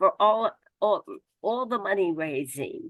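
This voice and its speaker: In a dry, close sound with no echo, a woman speaks at a fairly slow pace with very wide pitch swings. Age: 90s. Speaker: civil rights activist. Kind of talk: award acceptance speech.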